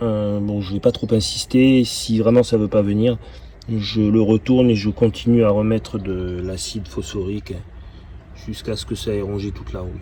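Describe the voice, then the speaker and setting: This man's voice sits at medium pitch. His intonation is fairly even. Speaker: car restorer and video creator. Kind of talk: workshop tutorial narration. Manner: halting, many repetitions and hesitations.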